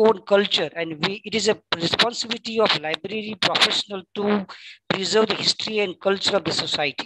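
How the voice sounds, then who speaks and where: In a Gujarati accent, a woman at medium pitch talks at a fairly quick pace with ordinary pitch variation, the sound dry and close with no echo. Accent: Indian English, Gujarati. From India, Gujarat. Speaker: librarian, audience questioner. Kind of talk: Q&A question at webinar. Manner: halting, many fillers.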